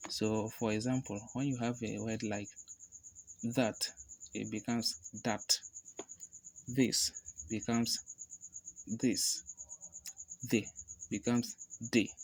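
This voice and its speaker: Using a medium pitch and ordinary pitch variation, a man talks at a very slow pace with vocal fry and long, frequent pauses. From Africa. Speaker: language tutor. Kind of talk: tutorial talk to camera.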